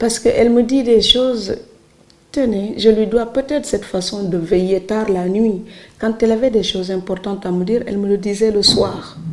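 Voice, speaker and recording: Over noticeable background noise, a woman speaks at a moderate pace with fairly high pitch and ordinary pitch variation. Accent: Senegalese. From Senegal, Saloum islands village. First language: Serer (speaking French). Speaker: writer. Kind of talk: interview.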